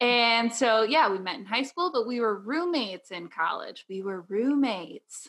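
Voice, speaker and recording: With a Midwestern American accent, a woman speaks at a moderate pace and a fairly high pitch. Her intonation is lively, and her loudness swings widely. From Southern Illinois. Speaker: podcast host, graphic designer. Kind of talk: casual chat.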